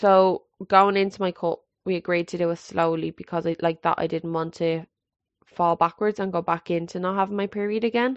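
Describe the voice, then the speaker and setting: A woman's fairly low voice with a Scottish accent and fairly even intonation. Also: moderate pace. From Scotland. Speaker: podcast host. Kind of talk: solo monologue.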